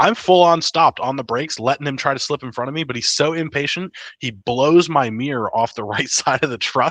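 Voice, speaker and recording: Fairly quick speech with hardly any pauses, ordinary pitch variation and a normal speaking voice, in a dry, close sound with no echo over a quiet background. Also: man, fairly high pitch for a man. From West Virginia, US. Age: 20s. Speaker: former Marine mechanic. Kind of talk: casual chat.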